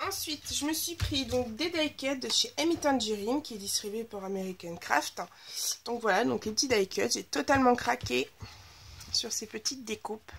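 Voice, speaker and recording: A woman's high-pitched voice at a moderate pace, with very wide swings in pitch. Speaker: scrapbooking youtuber. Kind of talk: casual haul video. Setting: home, under skylight. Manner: hesitant with fillers.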